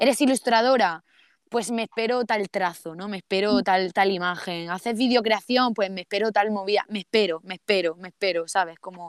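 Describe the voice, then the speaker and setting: A woman's medium-pitched voice in an Andalusian accent, animated in tone, at a moderate pace with ordinary pitch variation and a dry, close sound with no echo. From Andalusia, Spain (Almería). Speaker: poet and visual artist. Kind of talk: casual interview. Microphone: poor sound quality.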